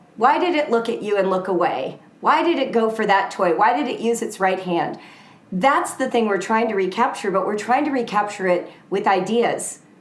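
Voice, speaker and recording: Over noticeable background noise and audible room echo, a woman with an American accent speaks at a moderate pace and fairly high pitch, her tone animated and her intonation lively. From US West Coast (Southern California). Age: 60s. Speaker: author. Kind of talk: interview conversation.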